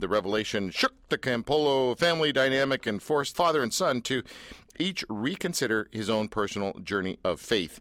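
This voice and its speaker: On a very clean recording with a silent background, a man with an unremarkable speaking voice talks at a fairly quick pace in a medium pitch. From Canada. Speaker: radio host. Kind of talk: casual chat. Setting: studio.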